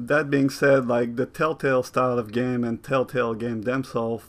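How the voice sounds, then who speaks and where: A man talks at a medium pitch. His pace is moderate and his intonation fairly even. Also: quiet background. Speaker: video game critic. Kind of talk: improvised video essay. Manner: casual, improvised.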